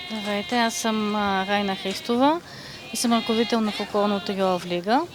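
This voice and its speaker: Music plays in the background as a woman with a western Bulgarian accent speaks at a fairly slow pace and a fairly high pitch. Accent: Shop dialect. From Bulgaria, Shopluk region. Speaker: folk singer, leader of a vocal trio. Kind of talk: interview. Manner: hesitant, with filler sounds.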